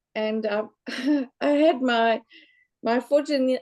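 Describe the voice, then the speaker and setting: The tone is dark and mellow. The speaker talks with a South African accent. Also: woman. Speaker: local government general manager. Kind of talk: panel self-introduction.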